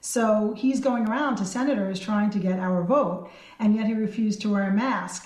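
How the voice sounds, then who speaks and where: A woman with a fairly high pitch and a somewhat breathy voice talks at a moderate pace with ordinary pitch variation. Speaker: state senator. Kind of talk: radio interview recounting an event.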